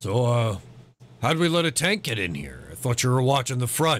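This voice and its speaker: A man does a raspy, put-on character voice at a medium pitch with lively intonation, in a very clean recording with a silent background. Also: moderate pace. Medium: actual play. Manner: blunt, gruff.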